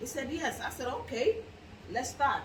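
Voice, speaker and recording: A woman speaks with an African accent and lively intonation. The recording has audible room echo. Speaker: clothing business owner. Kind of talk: interview.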